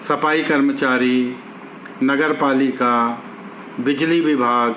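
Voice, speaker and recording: A man at medium pitch speaks in a monotone, flat intonation, with noticeable background noise and audible room echo. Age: 70s. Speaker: local elder / citizen giving public appeal. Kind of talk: public appeal statement.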